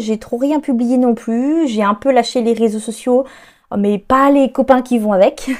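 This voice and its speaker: A high-pitched woman's voice, dark and mellow in tone, with fairly even intonation and a very slow pace. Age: 30s. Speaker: author and creative podcaster. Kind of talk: solo podcast monologue. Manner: hesitant, with frequent fillers.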